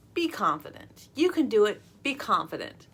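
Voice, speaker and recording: A woman's raised, projected voice is high in pitch and bright and sharp in tone, with very wide pitch swings. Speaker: author and confidence mentor for girls. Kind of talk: explanatory talk to camera.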